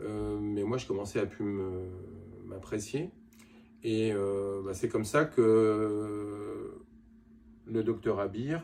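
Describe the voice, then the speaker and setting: With a dark, mellow tone, a man talks at a very slow pace, leaving long, frequent pauses. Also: fairly low pitch for a man, fairly even intonation. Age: 60s. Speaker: cosmetic surgery patient. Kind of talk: testimony. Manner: halting.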